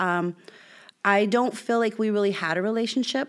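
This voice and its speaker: In an American accent, an unremarkable speaking voice keeps a moderate pace and ordinary pitch variation. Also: woman. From Southern California, Bloomington. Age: 30s. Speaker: guest sharing life story. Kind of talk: testimony.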